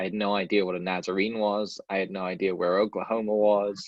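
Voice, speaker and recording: A man with a Welsh accent, fairly low in pitch, flat and monotone in intonation. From Wales. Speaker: podcast host, realtor, guest speaker. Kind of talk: talk to a club. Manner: casual, many fillers and restarts.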